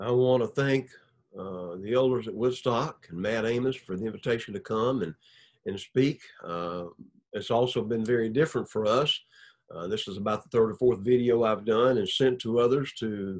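A man at a moderate pace, with ordinary pitch variation, against a quiet background. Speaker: preacher. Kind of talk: sermon. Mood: warm, appreciative. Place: home room. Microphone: webcam.

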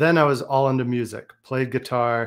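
The pace is fairly slow, with fairly even intonation. The background is quiet. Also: man. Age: 40s. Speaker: book publisher and entrepreneur; podcast guest. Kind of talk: interview. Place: home room.

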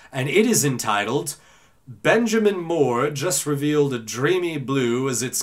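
In an ordinary speaking voice, a man talks at a fairly slow pace with a fairly high pitch. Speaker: voice actor. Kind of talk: casual talk to camera.

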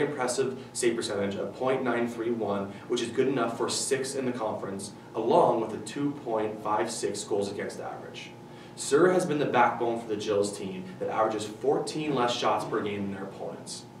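At a moderate pace with hardly any pauses, a man speaks with ordinary pitch variation, with audible room echo and light background noise. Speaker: presenter. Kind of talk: sports news report. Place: studio.

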